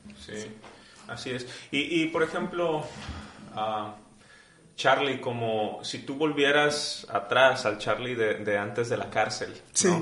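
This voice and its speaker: A man of medium pitch talks at a very slow pace with long, frequent pauses, ordinary pitch variation and big swings in loudness, over noticeable background noise with audible room echo. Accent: Mexican. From Mexico. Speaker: podcast host. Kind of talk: casual interview.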